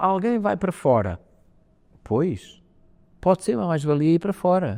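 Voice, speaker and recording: A man talks at a fairly quick pace in a European Portuguese accent, with very wide pitch swings. His tone is dark and mellow, in a dry, close sound with no echo. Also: very clean recording, silent background. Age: 60s. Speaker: space agency head. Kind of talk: interview. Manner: hesitant, with many fillers and restarts.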